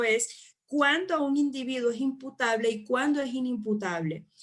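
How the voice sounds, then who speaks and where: A woman's high-pitched voice. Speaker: psychology lecturer. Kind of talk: online lecture. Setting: live online class with chat.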